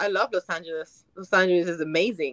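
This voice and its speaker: A woman's medium-pitched voice has a bright, sharp tone. The sound is dry and close, with no echo. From France, Paris. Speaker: actress, dating show contestant. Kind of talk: casual dating chat.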